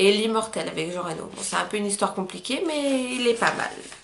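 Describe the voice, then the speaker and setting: A woman speaks with ordinary pitch variation, with noticeable background noise and audible room echo in the recording. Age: 20s. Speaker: YouTuber. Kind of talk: casual chat. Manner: hesitant, many fillers.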